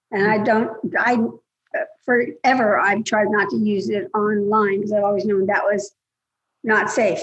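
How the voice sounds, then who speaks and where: A woman with a somewhat breathy, fairly high voice speaks at a moderate pace. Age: 70s. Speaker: scam victim. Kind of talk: casual chat.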